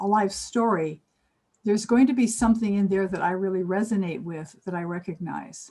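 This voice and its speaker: A woman's somewhat breathy voice carries a dark, mellow tone with ordinary pitch variation. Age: 70s. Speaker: spiritual mentor. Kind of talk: interview.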